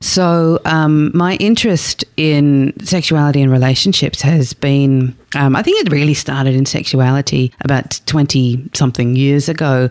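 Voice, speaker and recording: A woman speaks with an Australian accent at a fairly slow pace, with hardly any pauses and very even loudness. Her pitch is very deep and low with ordinary variation, and the sound is dry and close with no echo. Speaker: sex therapist. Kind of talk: interview. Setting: studio.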